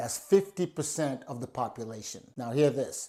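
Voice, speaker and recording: Spoken at a fairly slow pace in an animated tone, the voice comes through on a very clean recording with a silent background. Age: 60s. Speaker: entrepreneur. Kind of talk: sales pitch.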